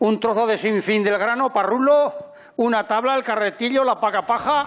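Faint music plays behind a man whose extremely high pitch moves with ordinary variation. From Aragon, Spain. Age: 80s+. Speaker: farmer and balancing performer. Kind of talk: casual talk in interview. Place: garage. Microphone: lapel.

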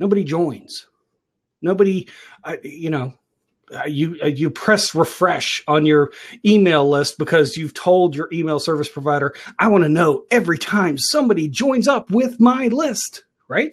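A man's high pitch and lively intonation at a moderate pace. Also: quiet background. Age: 40s. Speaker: online talk show host and business coach. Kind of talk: casual live-stream talk. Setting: live video stream with headphones and microphone. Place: home room. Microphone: earbuds.

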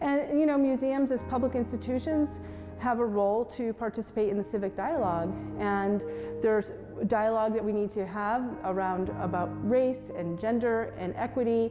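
Clear music plays in the background while a woman speaks with ordinary pitch variation. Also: moderate pace. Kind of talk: interview answer. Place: hall. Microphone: lapel.

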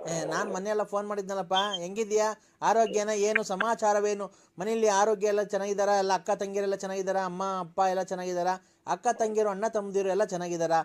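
Over a quiet background, a man talks with a high voice. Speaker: prank caller. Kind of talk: prank phone call.

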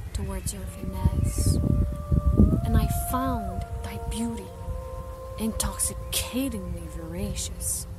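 A woman's very slow speech with long, frequent pauses, dry sound with no echo, and loud background noise. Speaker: poetry reciter. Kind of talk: poetry reading. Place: forest. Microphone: phone near.

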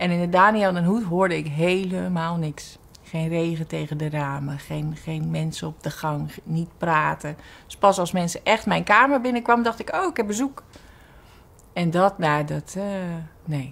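A woman speaks at a fairly slow pace. Her voice is fairly low. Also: ordinary pitch variation. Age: 40s. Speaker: cancer patient. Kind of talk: testimony. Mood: reflective, somewhat emotional. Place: studio.

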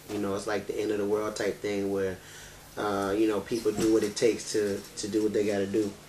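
A man talks at a fairly quick pace. His intonation is flat and monotone over light background noise. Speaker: video blogger. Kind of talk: casual vlog commentary. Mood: serious, concerned. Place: home room. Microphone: camera far.

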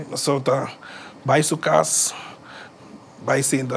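There is vocal fry in this man's voice, with light background noise behind him. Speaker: musician; interview guest. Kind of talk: interview. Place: studio.

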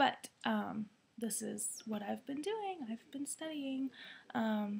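The speaker is a soft-spoken woman. Her pace is very slow. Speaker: vlogger and student; vlogger. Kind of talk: casual vlog. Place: home room. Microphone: webcam.

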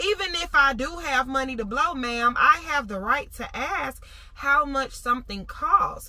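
Over noticeable background noise, a woman with an American accent and a high pitch uses a raised, projected voice, speaking at a fairly slow pace with lively intonation and an animated tone. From US South. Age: 20s. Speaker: lifestyle vlogger. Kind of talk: casual vlog talk to camera.

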